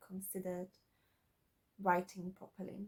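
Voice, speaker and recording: A woman is speaking. She has a slight non-native accent. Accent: slight foreign accent in English. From Slovakia. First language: Slovak. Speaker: aspiring author, YouTuber. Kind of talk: casual vlog. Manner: halting, many fillers and repeats.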